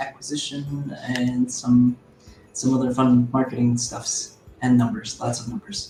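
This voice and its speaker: Over music in the background, a man with a medium-pitched voice and an American accent talks at a fairly slow pace in a monotone, flat intonation. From US Midwest, Chicago area. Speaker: games marketer. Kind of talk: casual chat.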